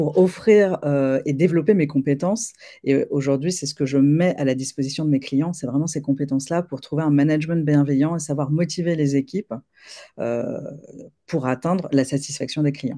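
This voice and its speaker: Pitch moves up and down in an ordinary way. The voice has a dark, mellow tone. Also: woman, quiet background. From France, Paris. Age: 40s. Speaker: leadership coach. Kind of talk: interview conversation.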